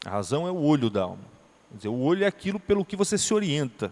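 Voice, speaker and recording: A man's high pitch with very wide pitch swings. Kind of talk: lecture.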